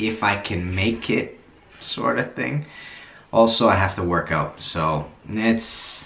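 A man talks very slowly at a fairly low pitch, with ordinary pitch variation. Room echo is audible over light background noise. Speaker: plumber vlogger. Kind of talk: casual vlog chat. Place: bathroom. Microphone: phone near.

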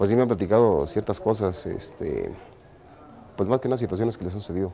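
Against light background noise, a man speaks with a fairly low pitch and lively intonation. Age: 40s. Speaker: amateur actor in a Passion play. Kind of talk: interview. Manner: halting.

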